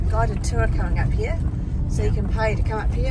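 A woman talks with a dry sound with no echo while loud background noise fills the clip. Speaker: travel vlogger. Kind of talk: casual vlog chat. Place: car. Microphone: phone near.

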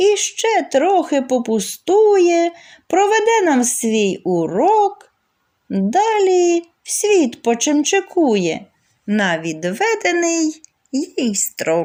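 A woman speaks at a very slow pace, with long, frequent pauses. Her tone is dark and mellow, with very wide pitch swings. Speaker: poetry reader. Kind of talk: reading aloud.

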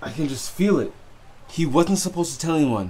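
Lively intonation from a man at a fairly quick pace, over light background noise. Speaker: storyteller. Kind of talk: dramatic monologue to camera. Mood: growing anger, frustrated.

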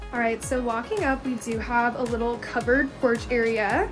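Clear music plays behind a woman who speaks at a moderate pace in a high-pitched voice. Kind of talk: casual vlog chat. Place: street. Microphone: phone near.

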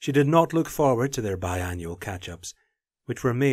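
The background stays quiet. Plain reading aloud comes with lively intonation.

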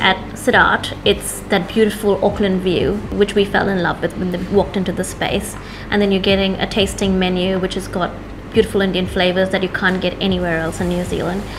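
A woman speaks fairly quickly in a monotone, flat intonation against noticeable background noise. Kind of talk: interview answer. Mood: warm, proud. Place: cafe. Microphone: lapel.

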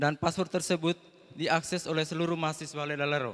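This is a man with a normal speaking voice. He talks at a fairly high pitch and fairly quick pace, with fairly even intonation. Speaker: seminarian student. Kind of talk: prayer. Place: hall. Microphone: handheld.

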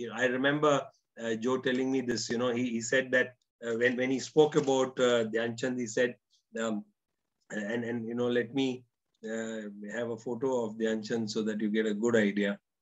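A man at a moderate pace, monotone and flat in intonation, over a quiet background. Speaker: narrator recalling interviews. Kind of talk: storytelling commentary. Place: home room. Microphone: webcam.

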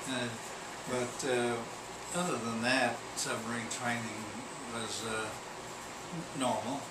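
A man talking at a very slow pace, with long, frequent pauses, against loud background noise. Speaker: war veteran. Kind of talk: interview answer. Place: home room.

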